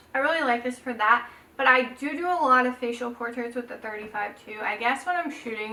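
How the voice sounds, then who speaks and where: This woman has a high pitch and ordinary pitch variation at a moderate pace. Background noise is noticeable. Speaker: photographer, YouTuber. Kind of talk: casual tutorial vlog. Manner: casual, chatty.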